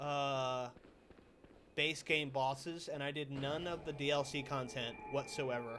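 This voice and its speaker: Here a man speaks at a fairly slow pace. His pitch is fairly high and his intonation fairly even. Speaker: gaming streamer. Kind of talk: live gameplay stream chat. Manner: loud.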